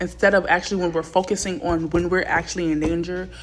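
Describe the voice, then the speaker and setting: This woman has an American accent and a fairly low pitch. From Texas. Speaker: podcast host, book reviewer. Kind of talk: casual solo book review commentary. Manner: halting, with fillers and restarts.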